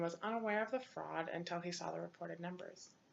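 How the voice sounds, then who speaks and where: A woman speaks at a very fast pace. Her pitch is fairly low and her intonation fairly even. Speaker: accounting ethics student. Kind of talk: class presentation. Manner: halting.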